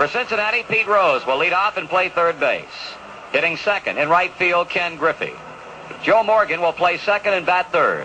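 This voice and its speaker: Over noticeable background noise, a man talks at a moderate pace in a high voice. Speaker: baseball radio announcer. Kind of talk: baseball radio broadcast, reading starting lineups.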